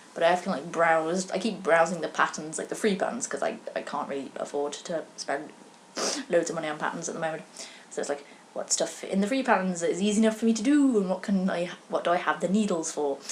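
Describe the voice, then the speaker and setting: Talking at a very fast pace over noticeable background noise, a woman with a medium pitch uses lively intonation. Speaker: knitting podcaster. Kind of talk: casual vlog chat. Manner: stuttering, slurred words.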